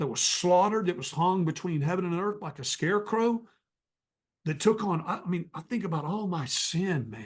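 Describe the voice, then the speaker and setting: A man with a high pitch talks at a moderate pace with lively intonation. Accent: American. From North Texas. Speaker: evangelist. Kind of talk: testimony.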